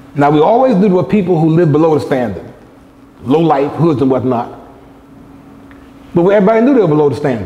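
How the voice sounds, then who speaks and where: Amid noticeable background noise and audible room echo, a man with a fairly high pitch talks at a very fast pace with very even loudness, very wide pitch swings and long, frequent pauses. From United States. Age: 60s. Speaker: lecturer. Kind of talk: lecture.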